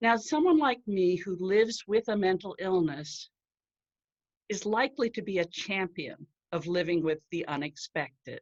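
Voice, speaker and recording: A woman with a plain, everyday voice speaks at a medium pitch and a moderate pace, with lively intonation. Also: dry, close sound with no echo. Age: 60s. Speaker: writer and marketing professional sharing her mental health story. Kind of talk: prepared talk. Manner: formal.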